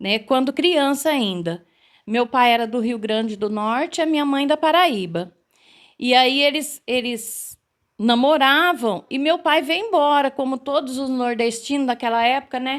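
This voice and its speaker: On a very clean recording with a silent background, a woman with a high pitch speaks at a fairly slow pace with lively intonation. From interior of São Paulo state, Brazil. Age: 60s. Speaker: teacher. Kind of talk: interview.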